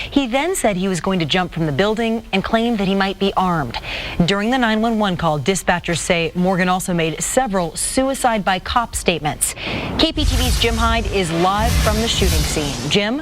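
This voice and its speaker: With hardly any pauses, a woman talks at medium pitch and lively intonation over noticeable background noise. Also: moderate pace. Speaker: TV news anchor. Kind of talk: TV news anchor read.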